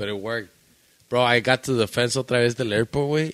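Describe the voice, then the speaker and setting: With a plain, everyday voice, a man with an American accent talks at a fairly quick pace, medium pitch and fairly even intonation. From Michoacán, Mexico, then Chicago area. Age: 30s. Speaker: podcast guest. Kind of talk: casual chat.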